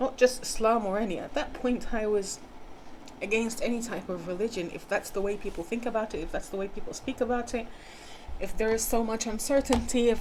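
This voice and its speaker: Noticeable background noise accompanies a speaker with an American accent, ordinary pitch variation and a moderate pace. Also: woman. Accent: switches between British and American. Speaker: spiritual healer. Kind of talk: personal storytelling monologue. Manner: hesitant, with fillers and repetitions.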